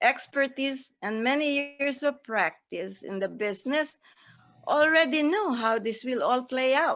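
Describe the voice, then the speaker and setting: A woman's high pitch and lively intonation at a very slow pace. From Philippines. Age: 80s+. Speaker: direct sales distributor. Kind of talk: seminar speech. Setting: seminar stage. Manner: formal.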